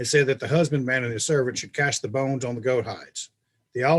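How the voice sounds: It is a natural reading voice over a quiet background.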